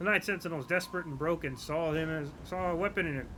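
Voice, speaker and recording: Talking at a very fast pace, a man with a fairly high pitch uses ordinary pitch variation and has a bright, sharp tone. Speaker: gamer streamer. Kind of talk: gameplay commentary. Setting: live stream. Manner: soft-spoken.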